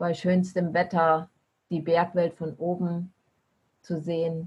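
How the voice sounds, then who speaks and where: A somewhat breathy woman's voice, fairly low in pitch, at a very slow pace. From eastern Germany. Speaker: long-distance bicycle traveler. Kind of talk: podcast interview.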